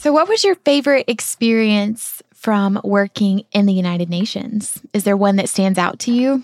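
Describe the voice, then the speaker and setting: In a Southern US accent, a woman speaks at medium pitch with ordinary pitch variation. The sound is dry and close, with no echo. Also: moderate pace. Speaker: podcast host. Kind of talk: interview, casual travel podcast.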